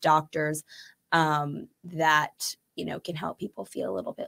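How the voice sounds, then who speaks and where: A woman speaks with an American accent on a very clean recording with a silent background. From Chicago. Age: 20s. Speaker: podcast guest. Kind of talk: casual chat. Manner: animated.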